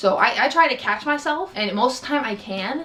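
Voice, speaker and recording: Over music in the background, a woman uses a raised, projected voice with an animated tone and lively intonation. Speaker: vlogger. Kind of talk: storytelling vlog.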